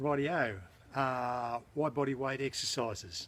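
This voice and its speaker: With an Australian accent, a man speaks at a fairly high pitch. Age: 60s. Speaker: fitness enthusiast. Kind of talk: tutorial. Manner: casual, hesitant with fillers.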